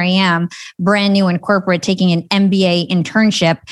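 Against a quiet background, a woman with an American accent speaks in a flat monotone. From New Jersey, US. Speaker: entrepreneur and podcast host. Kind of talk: interview.

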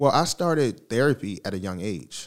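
American-accented male speech. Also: very clean recording, silent background. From Baltimore, US East Coast. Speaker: podcast host and mental health advocate. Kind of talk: casual interview.

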